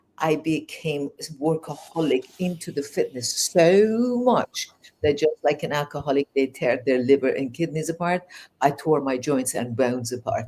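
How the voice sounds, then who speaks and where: With a Persian accent, the speaker has a dark, mellow tone and lively intonation at a moderate pace. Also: woman, very deep, low pitch for a woman. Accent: Persian accent with English-learned English. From Iran. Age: 60s. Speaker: life coach. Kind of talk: interview. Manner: hesitant, many fillers.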